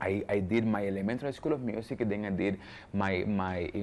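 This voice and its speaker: Speaking with a Spanish accent, a man keeps a fairly quick pace and a fairly low pitch. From Cuba, Havana; Cuba. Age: young. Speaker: jazz pianist and composer; interviewee. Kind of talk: interview. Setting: cultural centre in Havana. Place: hall. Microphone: lapel.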